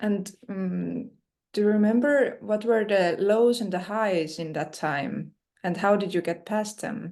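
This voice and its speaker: Against a quiet background, a woman with a non-native accent speaks fairly slowly at medium pitch with ordinary pitch variation. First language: not English. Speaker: interviewer. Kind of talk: interview.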